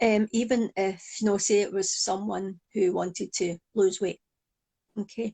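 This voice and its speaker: In a Glaswegian accent, a woman speaks at a fairly slow pace with a medium pitch, a dark, mellow tone and monotone, flat intonation, in a dry, close sound with no echo. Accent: Glaswegian Scottish. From Scotland, Glasgow. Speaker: psychologist and hypnotherapist. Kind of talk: interview.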